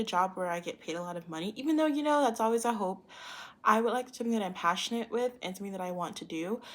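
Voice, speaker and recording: A woman talks in a strong Valley Girl accent. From US South. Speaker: university student. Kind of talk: self-introduction monologue. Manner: casual with many fillers.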